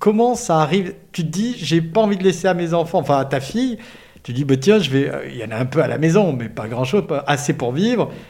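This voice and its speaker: A man speaks at a fairly quick pace in a fairly high pitch. His voice makes very wide pitch swings. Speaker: podcast host. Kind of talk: interview.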